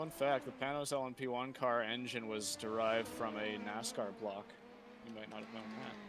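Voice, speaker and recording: A man with an American accent at a moderate pace and fairly even intonation, amid noticeable background noise and audible room echo. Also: medium pitch for a man. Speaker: sim racing streamer. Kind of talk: casual chat.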